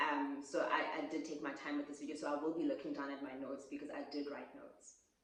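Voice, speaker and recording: Over noticeable background noise, a woman with a very deep, low pitch speaks at a fairly quick pace with hardly any pauses, ordinary pitch variation and big swings in loudness. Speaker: YouTuber. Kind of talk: casual vlog talk. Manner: fast.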